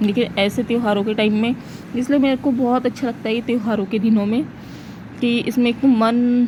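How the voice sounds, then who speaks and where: At a fairly slow pace, a woman with a fairly high pitch speaks over noticeable background noise. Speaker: vlogger. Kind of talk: casual vlog narration.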